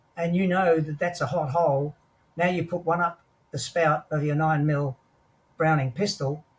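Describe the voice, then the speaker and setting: In an Australian accent, a man talks at a moderate pace with a fairly high pitch and fairly even intonation. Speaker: war veteran. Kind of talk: interview storytelling.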